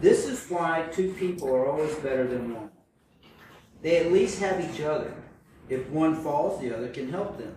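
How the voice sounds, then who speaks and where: Lively in intonation, a man with a fairly high pitch speaks at a moderate pace with big swings in loudness amid noticeable background noise. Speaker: scripture reader. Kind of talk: reading aloud.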